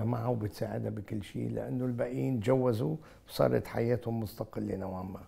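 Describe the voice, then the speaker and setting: A man with a Beirut accent, fairly low in pitch, at a moderate pace with lively intonation. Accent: Lebanese Arabic, Beirut. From Lebanon, Beirut; Lebanon. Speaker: engineer and businessman; interview guest. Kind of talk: interview. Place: studio. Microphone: lapel.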